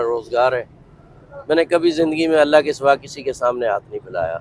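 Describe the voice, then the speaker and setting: A man with an unremarkable speaking voice keeps a moderate tempo, his intonation fairly even. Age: 60s. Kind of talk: interview testimony.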